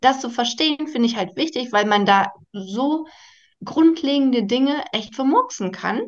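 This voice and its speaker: Lively intonation and a moderate pace from a woman with a high-pitched voice. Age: 30s. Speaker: primary school teacher. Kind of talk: interview.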